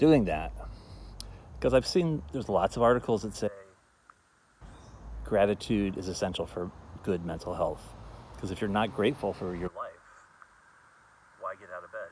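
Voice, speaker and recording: A man mumbles quietly at a moderate pace in a fairly low voice, with big swings in loudness. His intonation is lively, broken by long, frequent pauses. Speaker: festival founder. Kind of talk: casual talk to camera. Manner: mumbling, quiet.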